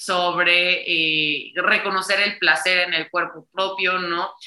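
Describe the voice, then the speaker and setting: Her tone is bright and sharp. The woman's pitch sits fairly low, with fairly even intonation. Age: 20s. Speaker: political communication student and feminist activist. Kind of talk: interview.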